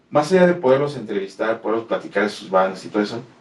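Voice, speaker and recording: The speaker is a man with a medium-pitched voice. He uses lively intonation. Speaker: metal podcast producer. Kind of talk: interview. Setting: studio.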